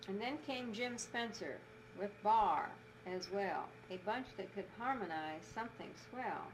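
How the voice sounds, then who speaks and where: Noticeable background noise accompanies a woman with a fairly high pitch who speaks at a fairly slow pace with ordinary pitch variation. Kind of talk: poetry reading. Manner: reading comic verse.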